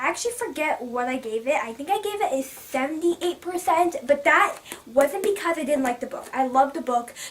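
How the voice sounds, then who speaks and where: A woman talks at a fairly quick pace with a high pitch, an animated tone and lively intonation. Noticeable background noise runs behind her. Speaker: book vlogger. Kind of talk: casual vlog review. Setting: filming on camera. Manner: fast.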